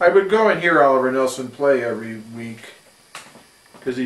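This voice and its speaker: Audible room echo surrounds the speaker, a man with an American accent. His pitch sits in the medium range. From US Midwest, St. Louis, Missouri; Missouri. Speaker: jazz trombonist and composer; interviewee. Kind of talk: interview. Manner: halting. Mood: calm, thoughtful.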